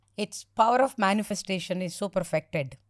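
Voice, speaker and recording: Recorded very cleanly against a silent background, dry and close with no echo, a woman speaks at a moderate pace and medium pitch in an unremarkable speaking voice with ordinary pitch variation. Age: 60s. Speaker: spiritual teacher. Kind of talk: podcast interview.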